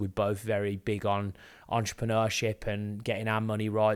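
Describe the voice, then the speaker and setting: On a very clean recording with a silent background, a man with a Birmingham accent speaks at a fairly low pitch. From England, Birmingham area. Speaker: business owner, podcast co-host. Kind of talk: casual chat. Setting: video podcast on camera.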